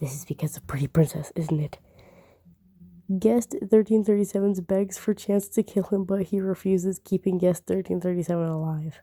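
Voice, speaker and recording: Quiet and dry, with a close sound and no echo, a woman speaks at a moderate pace in a medium pitch with a dark, mellow tone. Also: ordinary pitch variation. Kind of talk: reading aloud a game simulator with commentary. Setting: late at night, speaking quietly. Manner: halting, frequent self-corrections.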